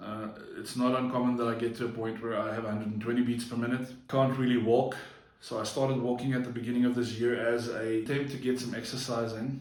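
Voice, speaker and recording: Monotone, flat intonation at a very fast pace, with audible room echo and noticeable background noise. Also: man, medium pitch for a man. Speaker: vlogger. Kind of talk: personal vlog monologue. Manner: halting, frequent slips and fillers.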